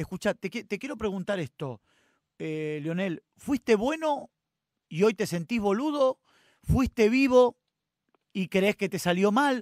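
A man speaks at a fairly slow pace in a high voice with lively intonation, leaving long, frequent pauses, over a quiet background in a dry sound with no echo. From Argentina. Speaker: radio host. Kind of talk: radio interview. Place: studio.

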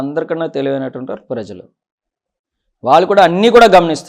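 A man with a fairly high pitch speaks in an ordinary speaking voice. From Pendurthi area, Visakhapatnam, Andhra Pradesh. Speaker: politician, sitting legislator. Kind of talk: interview.

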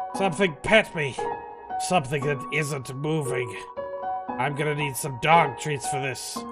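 Over loud music in the background, a man uses a put-on character voice with a fairly high pitch at a moderate pace. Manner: suspicious, then flustered.

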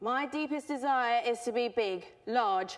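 Over a quiet background, a woman speaks with lively intonation. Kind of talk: performed poem monologue. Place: stage.

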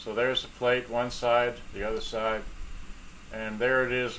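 Moderate pace with light background noise. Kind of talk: tutorial. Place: workshop.

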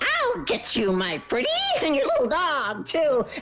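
A woman puts on a character voice at a high pitch and a moderate pace. Noticeable background noise runs under her. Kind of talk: playful game commentary. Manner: cackling, menacing.

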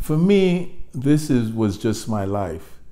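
Slow and dark, a man's mellow-toned voice moves with ordinary pitch variation.

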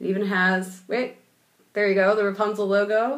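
Moderate-paced speech from a woman. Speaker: product tutorial host. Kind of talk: tutorial. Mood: cheerful, laughing. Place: home room. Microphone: webcam.

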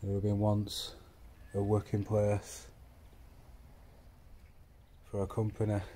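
Light background noise sits behind a man with a dark, mellow, somewhat breathy tone. He talks at a fairly slow pace in a fairly low pitch. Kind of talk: casual vlog chat. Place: factory. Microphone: phone near.

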